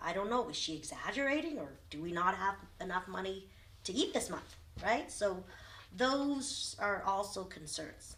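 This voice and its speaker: With very wide pitch swings, a woman talks amid audible room echo. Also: medium pitch for a woman, moderate pace. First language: Vietnamese. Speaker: lawyer, refugee interviewee. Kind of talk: oral history interview.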